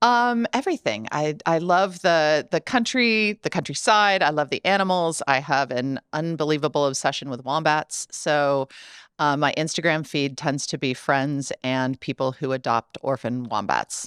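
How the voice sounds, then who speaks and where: Using lively intonation and a very deep, low pitch, a woman talks at a moderate pace with hardly any pauses on a very clean recording with a silent background and a dry, close sound with no echo. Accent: Midwestern American. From US Midwest, Ohio. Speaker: tech company accessibility executive. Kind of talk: podcast interview. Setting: studio.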